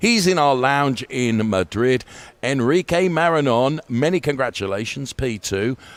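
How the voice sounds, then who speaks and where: With lively intonation, a man talks at a fairly slow pace in a plain, everyday voice. The sound is dry and close, with no echo. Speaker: sim racing broadcast host. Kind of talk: post-race interview.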